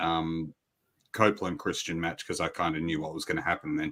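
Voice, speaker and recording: A man with an Australian accent, on a very clean recording with a silent background. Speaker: wrestling podcast host. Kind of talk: casual chat.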